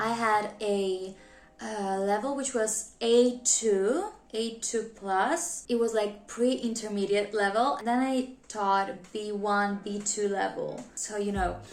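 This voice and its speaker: A woman with a non-native accent at a very slow pace, ordinary pitch variation and audible room echo. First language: not English. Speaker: YouTuber, new English teacher. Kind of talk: casual vlog talk to camera.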